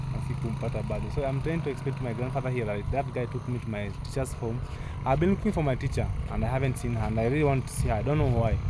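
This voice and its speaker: A very fast voice with audible room echo and noticeable background noise. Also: man, medium pitch for a man, ordinary pitch variation. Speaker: vlogger. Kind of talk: casual vlog. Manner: animated.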